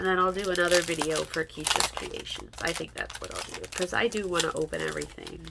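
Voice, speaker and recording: Against noticeable background noise, a woman speaks at a very fast pace with hardly any pauses. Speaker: crafting youtuber. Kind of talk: casual haul video chat.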